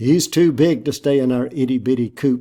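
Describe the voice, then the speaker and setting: A man uses a put-on character voice at medium pitch. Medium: read story. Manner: crowing.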